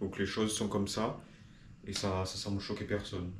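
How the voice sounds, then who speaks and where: This man's voice sits fairly low and stays monotone and flat. Room echo is audible. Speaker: video blogger. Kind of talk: improvised monologue to camera. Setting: talking to a camera.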